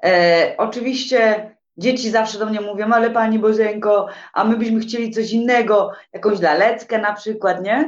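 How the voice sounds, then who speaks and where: Fairly high in pitch, a woman speaks in an unremarkable speaking voice. Her pace is moderate and her intonation fairly even. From Poland, Silesia. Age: 40s. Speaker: tour guide. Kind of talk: casual interview chat.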